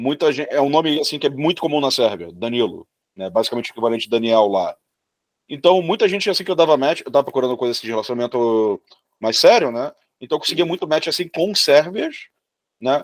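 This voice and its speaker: A man speaks at a fairly high pitch and a very fast pace. His intonation is lively. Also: dry, close sound with no echo. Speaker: podcast co-host. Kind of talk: podcast interview.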